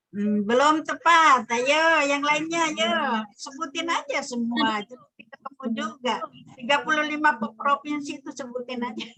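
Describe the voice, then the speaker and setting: Raised and projected, a woman's high-pitched voice runs with hardly any pauses and big swings in loudness. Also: ordinary pitch variation, fairly slow pace. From Sumbawa, Dompu, Indonesia. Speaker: lecturer. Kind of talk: online lecture, casual chat with students.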